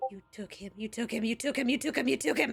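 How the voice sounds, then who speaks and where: A female-sounding put-on character voice, fairly high-pitched and very fast, with music in the background. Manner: agitated, volatile.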